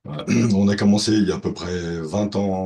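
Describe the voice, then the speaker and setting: A man speaks at a moderate pace. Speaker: farmer and industrial designer. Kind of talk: webinar presentation. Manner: halting, many hesitations.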